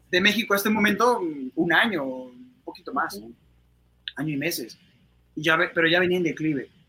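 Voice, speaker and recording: Over noticeable background noise, a high-pitched man talks at a moderate pace with lively intonation, big swings in loudness, and long, frequent pauses. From Mexico City. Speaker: actor. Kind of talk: interview.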